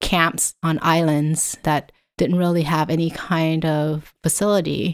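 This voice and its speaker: A very clean recording with a silent background captures a woman with a fairly low pitch. She speaks at a fairly slow pace in a monotone, flat intonation. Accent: Vietnamese. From Vietnam. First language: Vietnamese. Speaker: professor. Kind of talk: interview.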